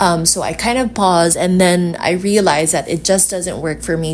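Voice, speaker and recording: A woman with a Filipino accent speaks at a moderate pace in a fairly low pitch. Her intonation stays fairly even, and noticeable background noise sits behind her. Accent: Filipino (Hiligaynon) English. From Philippines, Iloilo City. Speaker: yoga instructor and podcast host. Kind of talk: casual solo podcast talk. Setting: recording while traveling, hotel in Boracay.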